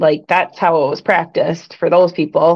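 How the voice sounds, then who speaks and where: A woman with a strong Michigan accent speaks at a fairly low pitch. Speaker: sports commentator. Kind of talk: casual chat. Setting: live stream with chat.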